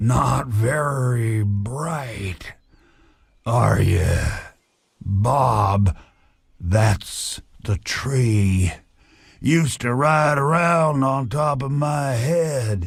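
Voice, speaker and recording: Putting on a character voice, a man at medium pitch speaks at a very slow pace with long, frequent pauses. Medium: video game. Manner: rambling, wry.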